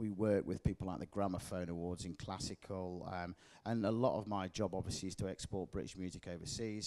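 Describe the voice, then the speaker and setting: Very fast and fairly even in intonation, a man talks with a very deep, low pitch and a dark, mellow tone. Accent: Leeds. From northern England, Leeds. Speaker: music industry representative. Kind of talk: panel interview. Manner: casual with many fillers.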